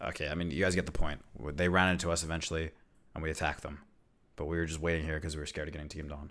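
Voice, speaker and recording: The recording is very clean, with a silent background. Delivery is monotone and very fast, broken by long, frequent pauses. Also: man, very deep, low pitch for a man. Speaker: streamer and gamer. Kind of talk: casual livestream chat. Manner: loud.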